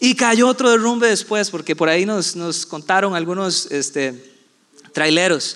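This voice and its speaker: With a Costa Rican accent, a man speaks at a moderate pace with lively intonation. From Costa Rica, San José and Puerto Viejo de Sarapiquí. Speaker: pastor. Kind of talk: sermon.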